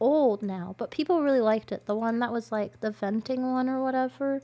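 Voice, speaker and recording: A woman speaks at a moderate pace in a high voice, her intonation lively. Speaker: live streamer. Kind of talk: casual chat. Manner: animated.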